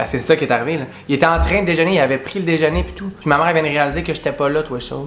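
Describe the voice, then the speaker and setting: Over music in the background, a man with a Quebec accent talks at a very fast pace in a fairly high pitch. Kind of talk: casual storytime to camera. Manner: animated, humorous.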